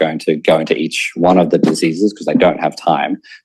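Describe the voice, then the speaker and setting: This man has an Australian accent. He speaks at a very fast pace. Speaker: conference speaker, PhD researcher. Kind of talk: conference talk.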